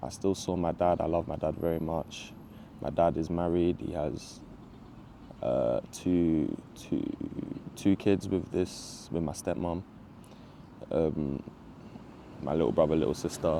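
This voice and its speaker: A man with a London accent, very deep and low in pitch, dark and mellow in tone, at a fairly slow pace with fairly even intonation and long, frequent pauses. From Southeast London, England. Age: 20s. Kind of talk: personal testimony. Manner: casual, halting with fillers.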